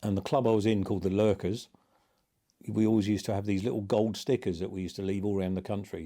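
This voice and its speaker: A man's fairly low, dark and mellow voice, very fast and flat in a monotone, on a very clean recording with a silent background. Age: 60s. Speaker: motorcycle rider. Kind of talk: interview storytelling. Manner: casual, hesitant with fillers.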